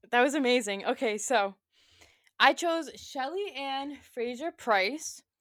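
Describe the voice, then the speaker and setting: A woman speaks loudly at a high pitch with lively intonation. Her pace is very slow. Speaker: sports podcast co-host. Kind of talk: casual chat.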